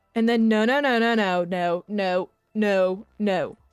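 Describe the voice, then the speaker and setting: A woman's fairly high-pitched voice over music in the background. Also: very even loudness. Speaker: gaming streamer. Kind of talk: live gameplay commentary. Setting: live stream. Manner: casual, animated.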